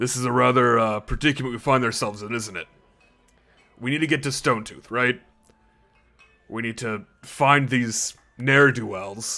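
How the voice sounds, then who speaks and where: A man puts on a raspy character voice at a medium pitch, moderate pace and fairly even intonation, with long, frequent pauses. Faint music plays behind him. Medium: actual play. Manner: blunt, no-nonsense.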